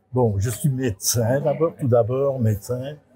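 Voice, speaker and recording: With music behind him, a man speaks very slowly at a medium pitch with ordinary pitch variation. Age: 70s. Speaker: neuropsychiatrist. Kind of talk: interview. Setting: hospital cafeteria.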